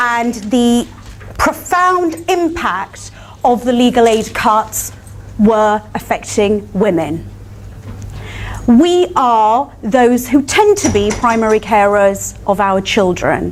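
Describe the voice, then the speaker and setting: The speech moves at a very slow pace with very wide pitch swings. Noticeable background noise is present. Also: woman. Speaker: barrister. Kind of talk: panel talk. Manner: not soft-spoken.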